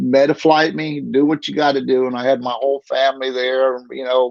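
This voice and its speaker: A man speaks at a moderate pace in a Southern US accent. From North Carolina (Statesville). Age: 60s. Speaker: kidney patient. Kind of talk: interview testimony. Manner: halting.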